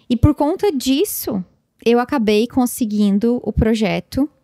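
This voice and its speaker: Over a quiet background, a woman speaks in a dark, mellow tone with ordinary pitch variation. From Brazil. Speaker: podcast host, content creator; podcast host. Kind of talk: solo podcast monologue, casual reflection. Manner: casual, with fillers and repetitions. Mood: reflective, warm. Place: home room. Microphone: studio mic.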